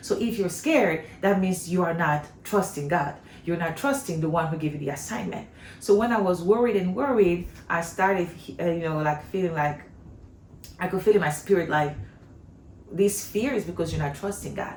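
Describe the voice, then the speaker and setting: With a French accent, a woman speaks at a moderate pace in a fairly low pitch, with audible room echo around her. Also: ordinary pitch variation. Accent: non-native English accent, French-speaking. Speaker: homeschooling mom, vlogger. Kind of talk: casual vlog talk. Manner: conversational, with fillers and false starts.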